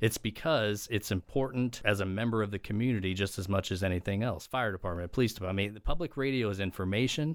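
Speaking with an American accent, a man talks at a very fast pace with hardly any pauses. His voice is fairly low in pitch. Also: ordinary pitch variation, very clean recording, silent background. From US Midwest, Edwardsville, southern Illinois (St. Louis Metro East). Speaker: radio sponsorship sales executive. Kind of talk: casual interview.

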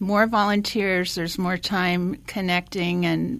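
A woman at a medium pitch, an ordinary speaking voice, at a fairly slow pace, on a very clean recording with a silent background. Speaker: meal delivery volunteer. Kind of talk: radio interview.

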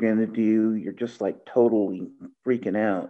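Speaking in a normal speaking voice, a man has a fairly low pitch. His pace is fairly slow and his intonation fairly even. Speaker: blind interviewee. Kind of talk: testimony.

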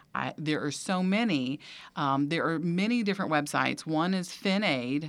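In a very clean recording against a silent background, a woman talks with ordinary variation in pitch. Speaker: financial aid expert. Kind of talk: casual interview. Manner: informative, conversational.

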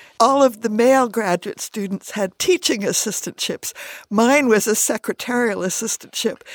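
A plain, everyday voice from a woman with an American accent, fairly high in pitch with ordinary pitch variation, at a moderate pace, in a dry, close sound with no echo. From US Midwest and upstate New York. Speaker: retired history professor. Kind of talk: radio interview. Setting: studio.

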